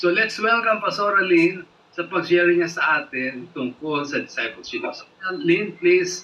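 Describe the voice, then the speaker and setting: A man at a high pitch, lively in intonation, speaking at a fairly slow pace over noticeable background noise. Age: 70s. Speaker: pastor. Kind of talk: online prayer meeting hosting.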